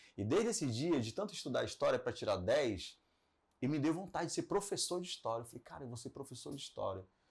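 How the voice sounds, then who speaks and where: Loudness rising and falling in big swings, a man talks at a very fast pace. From Belém, Pará, northern Brazil. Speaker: radio broadcaster and entrepreneur. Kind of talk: podcast interview. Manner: conversational, with fillers and self-corrections.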